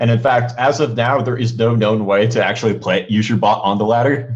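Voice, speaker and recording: Using a medium pitch, a man speaks at a moderate pace with fairly even intonation. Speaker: esports commentator and bot developer. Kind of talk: live game commentary and Q&A. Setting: live stream. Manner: loud; halting, many fillers.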